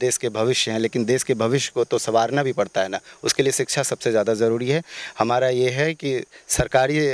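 An ordinary speaking voice with fairly even intonation moves at a moderate pace, in a dry, close sound with no echo on a very clean recording with a silent background. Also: man. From Bihar, Madhubani region. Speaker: election candidate. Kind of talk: interview.

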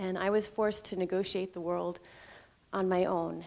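Her voice has a dark, mellow tone, and this woman varies her pitch in an ordinary way. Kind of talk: prepared personal talk. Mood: reflective, personal story. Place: stage. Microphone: headset.

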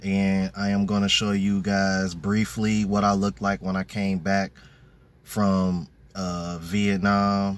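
A man talks at a fairly slow pace. The sound is dry, with no echo. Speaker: fitness vlogger. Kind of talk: casual vlog chat. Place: car. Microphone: phone near.

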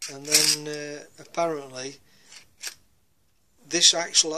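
Speaking at a fairly slow pace, a man uses fairly even intonation and a bright, sharp tone. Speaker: hobbyist reviewer. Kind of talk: casual product review. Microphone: phone near.

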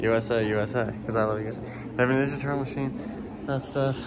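Loud background noise sits under the recording. A man talks over it at a fairly quick pace. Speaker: vlogger filming. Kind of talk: casual vlog chat. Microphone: phone near.

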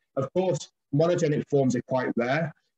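A man talks at a fairly quick pace with ordinary pitch variation, his slightly mellow tone carrying a slightly husky edge.

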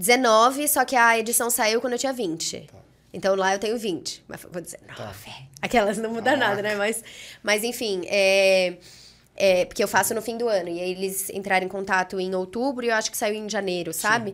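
A woman speaks at a moderate pace, fairly high in pitch with ordinary pitch variation. Her loudness swings widely. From Brazil, Brasília and São Paulo. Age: 20s. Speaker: entrepreneur; podcast guest. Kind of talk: podcast interview. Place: studio. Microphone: studio mic.

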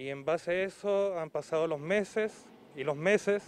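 This man's high voice moves at a moderate pace with ordinary pitch variation. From Chile, Aysén region (Coyhaique). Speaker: local resident making a complaint. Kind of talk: public complaint to TV news. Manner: halting, many fillers.

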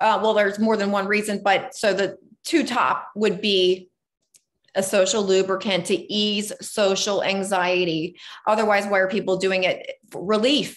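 Against a quiet background, a woman talks at a fairly slow pace with fairly even intonation. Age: 40s. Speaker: life coach and podcast host. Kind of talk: casual interview. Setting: video call. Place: home room. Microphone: video call.

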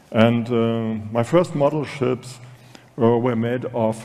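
The voice carries a German accent. Its tone is dark and mellow. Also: man. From Germany. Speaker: design director moderating a talk; conference speaker, panelist. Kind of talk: stage moderation. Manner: halting. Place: hall. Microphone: podium.

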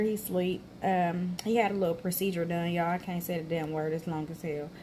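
Against light background noise, a woman with a fairly low pitch speaks at a fairly quick pace, somewhat breathy and with ordinary pitch variation. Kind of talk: casual vlog chat. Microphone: phone near.

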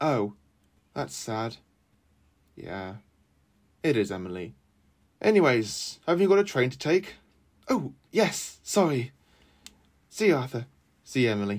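Delivered at a fairly slow pace with long, frequent pauses, the voice has an animated, gentle tone and very wide pitch swings on a very clean recording with a silent background. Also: man, medium pitch for a man. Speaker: storyteller narrating a model railway tale. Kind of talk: children's story narration with character voices. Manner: animated, voicing characters with gruff anger and gentle warmth.

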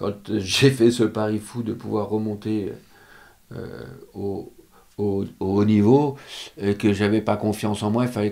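With a dark, mellow tone and a fairly low pitch, a man speaks at a very slow pace in a monotone, flat intonation. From France. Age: 50s. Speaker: show jumping rider and coach; coach. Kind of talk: interview. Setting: stable. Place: home room. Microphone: studio mic.

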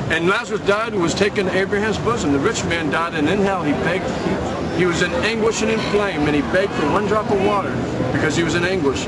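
Someone talks at a very fast pace over loud background noise. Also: man. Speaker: street preacher. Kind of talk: street preaching, confrontational sermon. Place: street. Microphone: camera far.

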